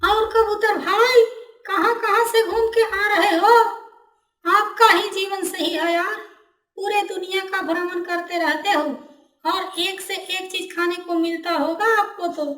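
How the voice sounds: The voice is a cartoonish character at an extremely high pitch. It keeps a moderate pace.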